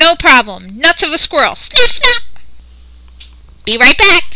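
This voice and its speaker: A cartoonish character voice at an extremely high pitch swings very widely in pitch at a fairly slow pace. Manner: brash, boastful, eager.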